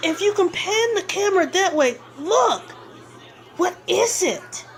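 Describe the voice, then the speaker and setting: A woman's put-on character voice at an extremely high pitch, with lively intonation, a fairly slow pace and clear background noise. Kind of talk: on-scene news report.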